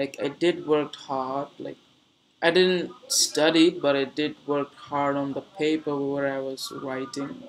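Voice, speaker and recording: In a Bengali accent, the speaker talks at a very slow pace with monotone, flat intonation. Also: man, fairly high pitch for a man. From Bangladesh, Dhaka. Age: 20s. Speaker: streamer. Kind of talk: casual chat. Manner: halting.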